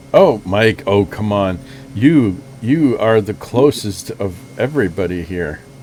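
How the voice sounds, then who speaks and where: Music plays in the background as a man talks at a fairly low pitch. His pace is fairly slow and his intonation lively. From Germany. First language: German. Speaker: flight sim video host. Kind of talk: casual chat.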